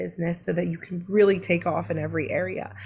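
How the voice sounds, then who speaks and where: A woman's fairly low, fairly quick voice with an American accent, vocal fry and fairly even intonation. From Brooklyn, New York. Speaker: online business coach. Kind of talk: live-streamed teaching webinar. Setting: live online stream. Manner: casual, with frequent fillers.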